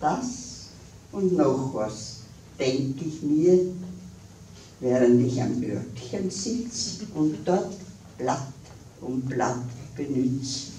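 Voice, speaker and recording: Speaking in an Austrian accent, a woman with a very deep, low pitch uses lively intonation at a very slow pace with long, frequent pauses, over light background noise and audible room echo. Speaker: dialect poet. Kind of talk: poetry reading. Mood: humorous, cheerful. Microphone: podium.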